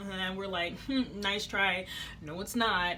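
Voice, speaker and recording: A woman speaks at a medium pitch. Audible room echo surrounds her voice. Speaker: vlogger, air force trainee. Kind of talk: storytime vlog. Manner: fast; animated.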